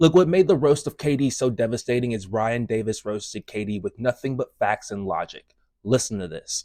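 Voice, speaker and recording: A man at medium pitch, fairly quick and lively, hardly any pauses, in a dry, close sound with no echo. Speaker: music and commentary youtuber. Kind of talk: commentary on a video clip.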